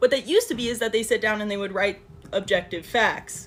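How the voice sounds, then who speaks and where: Over noticeable background noise, a woman talks very fast at a fairly high pitch. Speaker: social media commentator. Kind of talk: educational explainer monologue.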